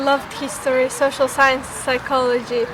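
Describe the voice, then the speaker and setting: A high-pitched woman's voice with monotone, flat intonation against noticeable background noise. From Uzbekistan. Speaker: political science student. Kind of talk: casual chat. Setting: outdoors.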